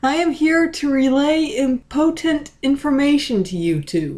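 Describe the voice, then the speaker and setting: A woman puts on a character voice at a high pitch and a moderate pace. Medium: read story. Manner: intelligent.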